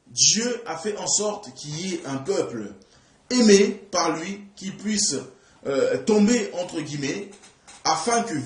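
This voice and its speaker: A man speaks at a very slow pace amid audible room echo and noticeable background noise. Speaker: preacher. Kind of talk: sermon. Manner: halting.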